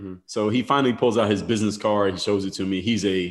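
A man's fairly low-pitched voice at a fairly quick pace, with ordinary pitch variation and music in the background. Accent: American. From Philadelphia, US. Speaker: former basketball player. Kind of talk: casual interview.

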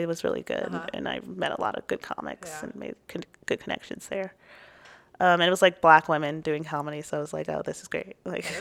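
A woman talks with a Southern California accent. The sound is dry and close, with no echo. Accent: Valley girl sound. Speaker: stand-up comedian, podcast guest. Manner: uses "like" as a frequent filler.

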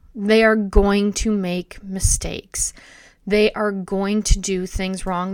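A woman speaks at a medium pitch. The recording is very clean with a silent background. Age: 40s. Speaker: podcast host in addiction recovery. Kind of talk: solo podcast monologue.

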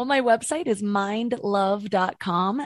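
At medium pitch with ordinary pitch variation, a woman has a normal speaking voice. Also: quiet background. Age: 30s. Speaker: mindset coach and podcast host. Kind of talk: interview.

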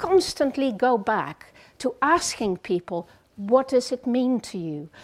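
A woman with a Dutch accent speaks in a high voice with very wide pitch swings. The recording is very clean, with a silent background. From Netherlands. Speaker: psychotherapist. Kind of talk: lecture.

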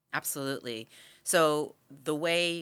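A woman speaks with a bright, sharp tone and ordinary pitch variation. The recording is very clean, with a silent background. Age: 40s. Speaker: spiritual guide and somatic healer. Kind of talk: interview podcast.

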